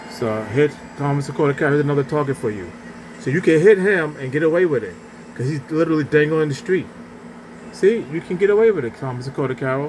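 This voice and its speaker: A man's fairly high, mumbled voice at a very fast pace, with lively intonation and noticeable background noise. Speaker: video blogger. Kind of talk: casual monologue rant. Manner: mumbling; halting.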